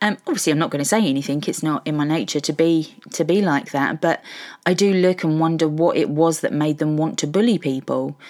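A woman's very deep, low voice with a southern English accent, ordinary pitch variation and a moderate pace. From Hertfordshire, England. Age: 50s. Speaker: podcaster. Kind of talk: personal monologue.

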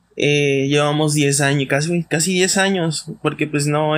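On a very clean recording with a silent background, a man with a fairly high voice speaks at a fairly slow pace with fairly even intonation. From Mexico, Campeche. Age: 20s. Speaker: podcast host, psychologist. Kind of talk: casual monologue. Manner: hesitant, many fillers.

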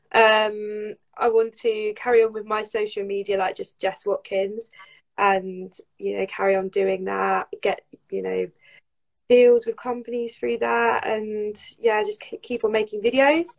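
A woman with a southern English accent speaks at a fairly slow pace. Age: 20s. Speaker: footballer and social media creator. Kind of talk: casual chat.

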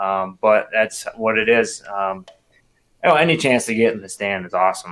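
Loudness swings widely as a man speaks with a Wisconsin accent. His pitch is fairly low and his pace moderate. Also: ordinary pitch variation. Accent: Upper Midwest, Wisconsin. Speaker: bow hunter. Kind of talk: casual chat.

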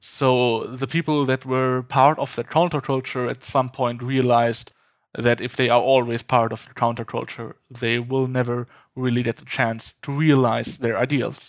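A man with a German accent, medium in pitch, at a moderate pace, his intonation monotone and flat, his loudness swinging widely, on a very clean recording with a silent background. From Germany. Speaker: nuclear advocate and lab technician trainee. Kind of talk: interview conversation.

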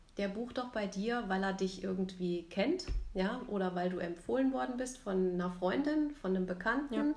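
A woman speaks at a moderate pace in a medium pitch, her intonation lively and her loudness very even. Noticeable background noise and audible room echo fill the recording. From Rhein-Main region, Germany. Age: 40s. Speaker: photographer and podcast co-host. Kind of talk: casual chat. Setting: recording together in Zwickau.

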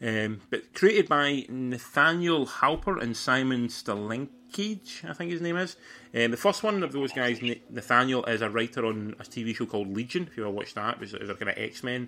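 Speaking in a Scottish accent, a man uses lively intonation and a bright, sharp tone. His pitch is medium and his pace moderate. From Scotland. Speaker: podcast host. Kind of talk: casual chat.

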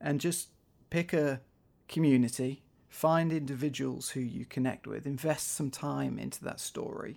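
On a very clean recording with a silent background, a man with a Manchester accent talks at a moderate pace. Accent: northern English (Manchester area). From northwest England, near Manchester. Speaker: documentary photographer and filmmaker. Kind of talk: interview. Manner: halting, frequent repetitions.

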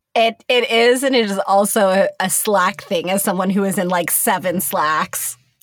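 Woman with a playful tone and medium pitch at a moderate pace, ordinary pitch variation and hardly any pauses, with music in the background. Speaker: podcast co-host. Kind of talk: casual chat podcast banter. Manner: joking, playful.

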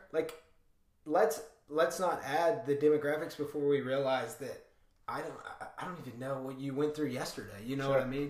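With audible room echo, a man talks at a fairly quick pace with a fairly high pitch and ordinary pitch variation. His loudness swings widely, and he takes long, frequent pauses. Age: 20s. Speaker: startup worker. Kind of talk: casual chat.

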